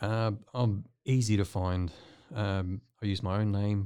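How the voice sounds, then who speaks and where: In a very clean recording with a silent background, a man with a New Zealand accent speaks at a very deep, low pitch in a dark, mellow tone, with fairly even intonation. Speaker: artist. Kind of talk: casual interview chat. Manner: halting, filler-heavy.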